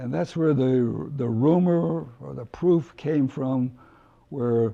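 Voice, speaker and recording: In a dark, mellow tone, a man speaks with ordinary pitch variation. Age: 80s+. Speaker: retired aerospace employee. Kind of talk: interview answer.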